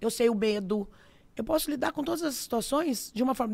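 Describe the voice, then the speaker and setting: Lively intonation marks a woman's very fast speech. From interior of São Paulo state, Brazil. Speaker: dentist and clinic owner. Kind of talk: casual podcast interview. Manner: animated.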